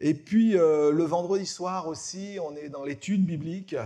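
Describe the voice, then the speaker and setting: A man's dark, mellow voice at a fairly slow pace, in a very clean recording with a silent background. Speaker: pastor. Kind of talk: church announcements. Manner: hesitant, many fillers.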